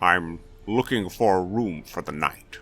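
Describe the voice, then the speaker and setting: In a put-on character voice, a man speaks quietly at a fairly slow pace with a very deep, low pitch. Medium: read story. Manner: quiet, terse.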